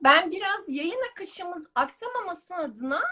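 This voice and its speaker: A woman's raised, projected voice, extremely high in pitch and bright and sharp in tone, with very wide pitch swings at a moderate pace. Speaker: pharmacist, brand education manager, live stream host. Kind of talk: live stream interview. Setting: online live broadcast.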